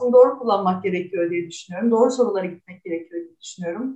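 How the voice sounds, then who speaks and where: The woman's intonation is lively. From Istanbul, Turkey. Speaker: artist. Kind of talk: interview.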